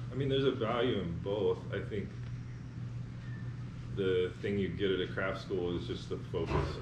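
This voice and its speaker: An American accent from a man, over loud background noise. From North Carolina. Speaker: artist blacksmith and foundry artist. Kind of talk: interview answer. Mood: relaxed, reflective. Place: workshop.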